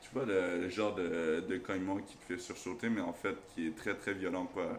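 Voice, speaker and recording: A man's fairly low, fairly even-toned voice amid audible room echo and noticeable background noise. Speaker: YouTuber. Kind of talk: casual storytelling. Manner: loud.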